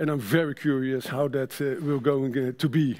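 A man with a Dutch accent speaks at a fairly high pitch. The background is quiet. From Netherlands. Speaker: sustainability manager at a trade association; conference presenter. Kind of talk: conference presentation. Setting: stage with audience. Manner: halting. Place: stage.

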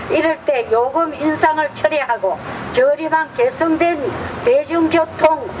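With crowd noise behind her, a woman talks at a very slow pace in a high pitch with lively intonation. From Korea. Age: old. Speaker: community activist, bus riders union member. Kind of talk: public speech at a rally. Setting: outdoors. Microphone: handheld.

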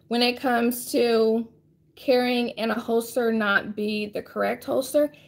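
Here a woman is speaking. Her pitch is fairly high. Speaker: firearms instructor and live-stream host; firearms instructor, live-stream host. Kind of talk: live stream Q&A and tutorial. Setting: live online broadcast. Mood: friendly, calm advice. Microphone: phone near.

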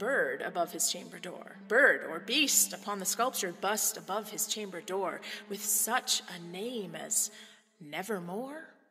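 Over music in the background, a woman talks at a fairly high pitch and a fairly slow pace with ordinary pitch variation. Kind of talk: poetry reading.

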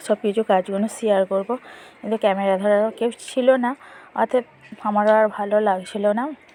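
A woman's medium-pitched voice comes through monotone and flat, dry and close with no echo, against noticeable background noise. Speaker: lifestyle vlogger, homemaker. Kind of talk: casual vlog voiceover. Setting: outdoors in the sun.

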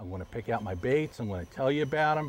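A man's voice is heard in a dry recording with no echo. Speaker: fishing show host. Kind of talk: tutorial. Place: boat. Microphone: lapel.

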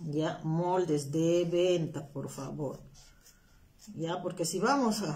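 Very slow and somewhat breathy, a woman with a dark, mellow tone uses ordinary pitch variation and long, frequent pauses. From Peru, Huancayo. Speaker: craft instructor. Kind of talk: live-stream craft tutorial. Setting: live stream from home, not her workshop. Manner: chatty, informal. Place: home room. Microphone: phone near.

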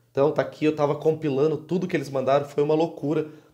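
A man's fairly high, dark, mellow voice at a very fast pace. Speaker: gaming youtuber. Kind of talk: comedic video monologue. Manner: animated. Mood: humorous, joking. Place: home room. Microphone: earbuds.

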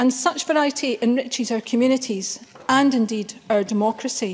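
A woman with a Glaswegian accent talks at a fairly quick pace with a high pitch. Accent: Glaswegian Scottish. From Scotland, Glasgow. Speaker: member of parliament. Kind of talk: parliamentary speech. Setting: parliament chamber. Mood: solemn, grave. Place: hall. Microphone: podium.

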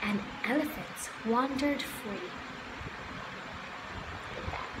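A woman with a high voice speaks slowly and with ordinary pitch variation, while background noise is clearly heard.

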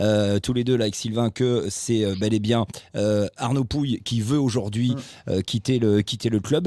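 A man speaks at a fairly slow pace with a dark, mellow tone. His intonation stays fairly even over a quiet background. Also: dry sound with no echo. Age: 50s. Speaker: football podcast host. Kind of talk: casual chat. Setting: studio. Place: home room. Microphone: studio mic.

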